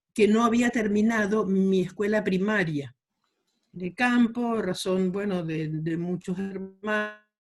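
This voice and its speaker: Music plays in the background as a woman at medium pitch talks at a very slow pace with ordinary pitch variation. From Argentina, Chaco (rural Quitilipi). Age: 70s. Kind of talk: interview.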